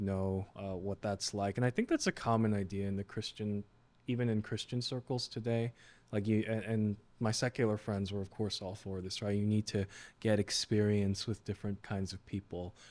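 A man with an American accent speaks at a moderate pace in a fairly low, monotone voice with flat intonation, on a very clean recording with a silent background. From New York (Queens, Flushing), Korean American. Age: 20s. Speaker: financial advisor. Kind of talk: casual chat.

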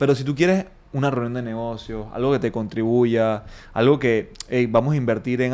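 A man speaks in a normal speaking voice, his medium pitch showing ordinary variation. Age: 30s. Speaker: fitness coach and gym owner. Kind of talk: interview.

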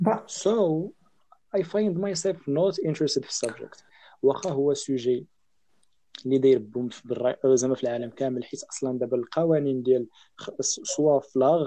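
The speech moves at a moderate pace with lively intonation. Long pauses come often. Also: man, fairly high pitch for a man. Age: young. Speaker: podcast guest. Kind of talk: casual chat.

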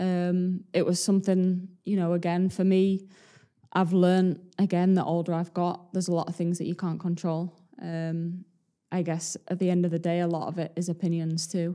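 A woman speaks at a moderate pace in a fairly low, dark, mellow tone, with monotone, flat intonation. The recording is very clean, with a silent background. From Leeds, Yorkshire. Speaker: professional footballer. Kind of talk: casual interview.

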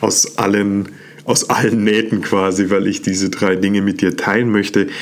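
Noticeable background noise sits behind this man. His pitch is fairly low. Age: 30s. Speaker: self-development podcast host. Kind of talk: motivational monologue. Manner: animated.

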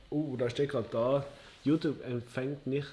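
A man is speaking. His tone is dark and mellow. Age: 20s. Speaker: podcast co-host. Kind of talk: casual chat. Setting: livestream.

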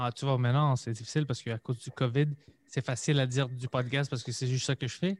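A man talks very fast at a medium pitch with fairly even intonation and a somewhat breathy voice. The recording is very clean with a silent background and a dry, close sound with no echo. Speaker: comedian and podcaster. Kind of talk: casual chat.

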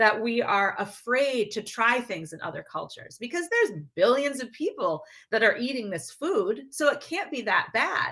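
Her voice high, bright and sharp, a woman speaks with very wide pitch swings. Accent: American. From US Midwest, Minneapolis-St. Paul. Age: 50s. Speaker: author and speaker. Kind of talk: podcast interview.

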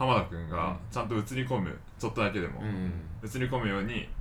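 A man talks at a moderate pace in a bright, sharp tone. Room echo is audible. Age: 20s. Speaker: photographer and videographer. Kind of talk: casual chat.

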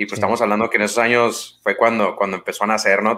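In a very clean recording with a silent background, a man with a Mexican accent speaks at a medium pitch in a relaxed tone that is bright and sharp. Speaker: podcast host. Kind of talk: casual chat. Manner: relaxed, informal.

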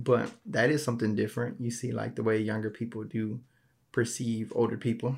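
A man speaks at medium pitch and a moderate pace. His voice is somewhat breathy. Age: 20s. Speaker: solo podcast host. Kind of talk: casual monologue.

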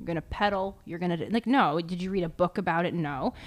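With an American accent, a woman with an ordinary speaking voice talks at a fairly quick pace, her pitch fairly low and intonation fairly even, in a very clean recording with a silent background. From US Northeast, New Jersey. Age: 30s. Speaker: mindfulness coach. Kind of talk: casual chat.

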